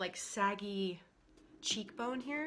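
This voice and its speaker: With music in the background, a woman speaks in a fairly high pitch and lively intonation. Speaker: beauty vlogger. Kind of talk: makeup tutorial talk to camera. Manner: casual.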